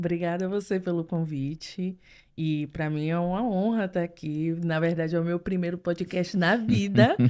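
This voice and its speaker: This woman has a dark, mellow tone and a fairly low pitch, with ordinary pitch variation. She speaks at a moderate pace on a very clean recording with a silent background. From Brazil, Salvador, Bahia. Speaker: translator. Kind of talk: casual chat.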